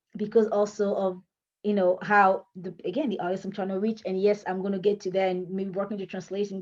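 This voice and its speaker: With a non-native accent, this speaker keeps to a moderate pace. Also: woman. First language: French. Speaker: author and writing coach. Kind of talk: tutorial. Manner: halting.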